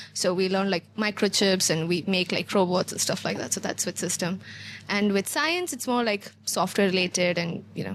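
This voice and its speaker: An ordinary speaking voice at a moderate pace, with ordinary pitch variation. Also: woman, medium pitch for a woman. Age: 20s. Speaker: app founder and recent graduate. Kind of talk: casual podcast interview.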